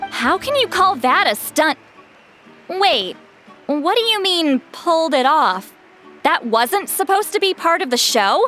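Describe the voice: Using a put-on character voice, a woman speaks at a fairly slow pace in an extremely high pitch with big pitch swings and a bright, sharp tone, while faint music plays in the background.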